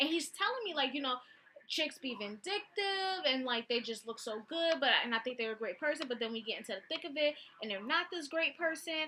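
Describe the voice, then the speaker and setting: A woman's raised, projected voice sounds animated. Her high pitch makes very wide swings. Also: fairly quick pace. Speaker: vlogger. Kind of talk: casual storytelling vlog. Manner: fast.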